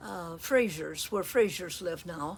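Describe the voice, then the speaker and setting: Lively intonation marks this woman's speech, delivered with an American accent. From Blue River, US small town. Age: 80s+. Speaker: elderly storyteller. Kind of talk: oral history storytelling. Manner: halting, with many fillers.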